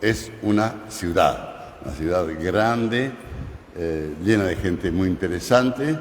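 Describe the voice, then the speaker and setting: Amid noticeable background noise and audible room echo, a man with a fairly low pitch speaks at a very slow pace. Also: lively intonation. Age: 80s+. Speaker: journalist. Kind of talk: conference talk. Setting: university auditorium. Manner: halting.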